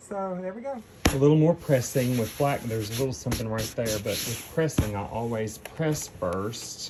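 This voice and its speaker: A man with a medium-pitched voice talks at a moderate pace, with hardly any pauses. His intonation is lively, and there is noticeable background noise. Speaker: theater costumer vlogger. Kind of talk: casual vlog narration. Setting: in a car. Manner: whispering backstage.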